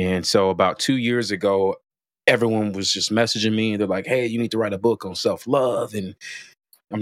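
With an American accent, a man talks at a fairly quick pace and ordinary pitch variation. The recording is very clean, with a silent background. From Chicago. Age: 30s. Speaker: podcast host. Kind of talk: casual interview chat.

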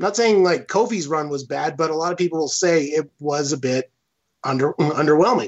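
With ordinary pitch variation and a fairly high pitch, a man speaks at a moderate tempo. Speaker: patron guest, wrestling fan. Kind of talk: casual chat. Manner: friendly, animated.

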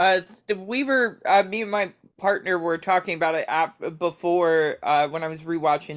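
With an American accent and an unremarkable speaking voice, a woman talks at a moderate pace in a fairly low pitch with ordinary pitch variation against a quiet background. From Baltimore, US. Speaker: stand-up comedian. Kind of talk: casual chat. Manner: jokey, rambling.

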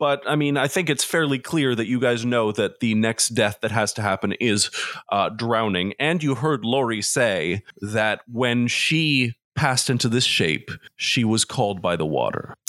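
A man with a plain, everyday voice speaks at a fairly slow pace. His pitch varies in an ordinary way and his loudness stays very even. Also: medium pitch for a man. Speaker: game master running a tabletop roleplaying game podcast. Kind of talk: casual comedic chat and tabletop roleplaying.

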